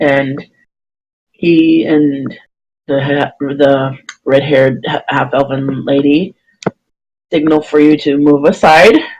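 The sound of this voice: A slow pace with long, frequent pauses, fairly even intonation and a slightly mellow tone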